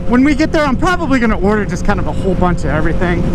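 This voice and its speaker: A high-pitched male voice with audible room echo and noticeable background noise. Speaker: motovlogger. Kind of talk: casual vlog narration while riding. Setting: riding a motorcycle. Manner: loud.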